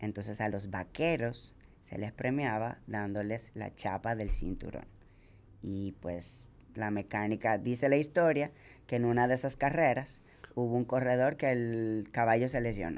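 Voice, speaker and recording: A woman with a non-native accent, a very deep, low pitch, ordinary pitch variation and a fairly slow pace. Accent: foreign lilt kept from childhood country. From Dominican Republic (from age seven). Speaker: ultramarathon runner; podcast guest. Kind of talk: casual chat. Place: studio. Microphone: studio mic.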